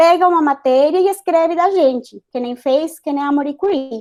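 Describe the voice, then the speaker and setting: Intonation is lively in a dark, mellow tone with a Spanish accent. The background is quiet. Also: woman. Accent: Spanish accent in Portuguese, noticeable. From Colombia, Bogotá. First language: Spanish (speaking Portuguese). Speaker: chemical engineer and science communicator. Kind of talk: panel discussion.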